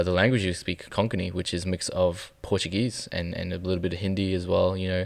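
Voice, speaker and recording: In a very clean recording with a silent background, a man with an Australian accent speaks in a very deep, low pitch and a monotone, flat intonation. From Melbourne, Australia. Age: 20s. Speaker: photographer. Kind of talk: interview. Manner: halting.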